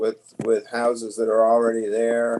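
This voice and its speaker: A man speaks quietly. His pitch is medium. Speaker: town councillor. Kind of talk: council meeting remarks. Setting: remote call from a neighbor's living room.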